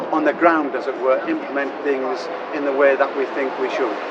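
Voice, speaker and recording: Recorded with audible room echo and noticeable background noise, a man in a County Durham accent talks at a fairly quick pace. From northern England, County Durham. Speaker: Methodist minister, church district leader. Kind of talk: interview.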